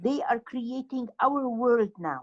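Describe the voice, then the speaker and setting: A woman with a high-pitched voice talks at a very slow pace. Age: 70s. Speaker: participant. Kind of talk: discussion question.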